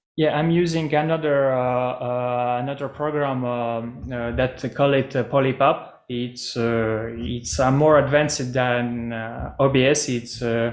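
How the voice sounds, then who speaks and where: Over noticeable background noise, a man at medium pitch talks at a fairly slow pace with fairly even intonation and hardly any pauses. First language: not English. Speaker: metaverse project presenter. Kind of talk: video call presentation Q&A. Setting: video call. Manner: halting, many fillers.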